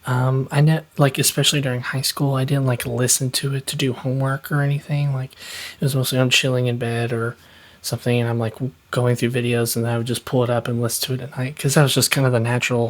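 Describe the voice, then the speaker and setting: A man's soft-spoken whispering at a very fast pace, with noticeable background noise. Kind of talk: ASMR whispered ramble. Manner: soft-spoken, whispered.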